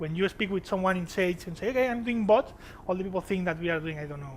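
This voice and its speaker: A man talks with audible room echo around him. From Spain, Barcelona (Catalonia). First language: Spanish or Catalan. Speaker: software developer / tech speaker. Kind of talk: conference talk. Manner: halting, many fillers.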